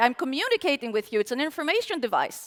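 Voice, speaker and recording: With a raised, projected voice and a bright, sharp tone, a woman makes very wide pitch swings. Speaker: conference speaker. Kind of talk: conference talk. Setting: stage with audience.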